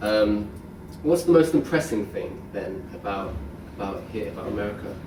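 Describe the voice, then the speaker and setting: Talking with a British accent at a moderate pace, a man uses a fairly low pitch with very wide pitch swings and big swings in loudness, amid audible room echo and noticeable background noise. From United Kingdom. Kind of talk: group interview.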